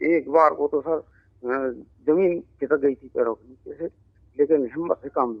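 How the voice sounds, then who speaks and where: His pitch fairly high and its variation ordinary, a man speaks with big swings in loudness. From Sambhal district, Uttar Pradesh, India. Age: 40s. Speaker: schoolteacher, COVID survivor. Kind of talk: interview testimony. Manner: halting.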